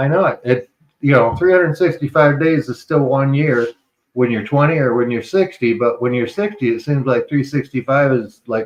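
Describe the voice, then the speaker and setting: A man with an ordinary speaking voice, fairly high in pitch, speaks at a moderate pace with ordinary pitch variation. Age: 60s. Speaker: morning podcast co-host. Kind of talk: casual chat.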